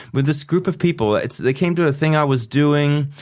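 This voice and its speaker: A man with a fairly high pitch talking at a very fast pace. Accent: American. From US, Pennsylvania. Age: 50s. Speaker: psychotherapist. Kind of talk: casual interview chat. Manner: halting, many repetitions and fillers.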